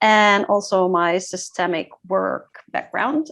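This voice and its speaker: In a Dutch accent, the speaker goes very slowly over a quiet background. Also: woman. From Groningen, Netherlands. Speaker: facilitator and ritual designer. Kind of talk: self-introduction.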